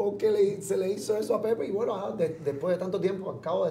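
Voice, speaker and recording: Fairly quick speech from a man, with audible room echo and light background noise. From Cuba, Pinar del Río; Cuba. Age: 40s. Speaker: comedian. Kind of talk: interview. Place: studio. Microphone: lapel.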